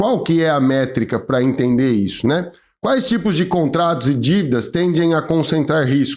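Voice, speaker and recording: This is a plain, everyday voice with lively intonation. The pace is moderate and the loudness very even. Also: man, fairly high pitch for a man. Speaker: lawyer, channel host. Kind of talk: informative video talk to camera.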